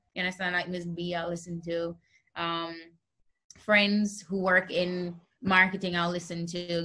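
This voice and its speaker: Speaking at a fairly slow pace, a woman has a bright, sharp tone and a medium pitch. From Jamaica. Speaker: singer-songwriter. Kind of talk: interview answer.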